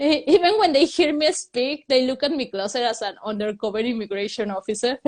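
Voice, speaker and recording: With a Mexican accent, a woman speaks at a high pitch and with lively intonation. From Mexico. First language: Spanish. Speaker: comedian. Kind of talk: stand-up. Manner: halting.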